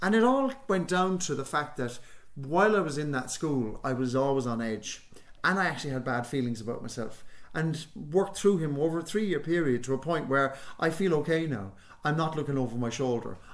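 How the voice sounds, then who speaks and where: A man with a Cork accent talks at a fairly quick pace in a fairly high pitch, with audible room echo around him. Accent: Irish (Cork). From Ireland, Youghal, County Cork. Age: 60s. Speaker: actor and playwright. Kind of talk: radio interview. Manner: halting, many repetitions.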